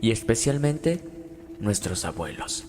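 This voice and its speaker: Over background music, a man speaks very slowly with lively intonation. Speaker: podcast host. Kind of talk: podcast intro narration.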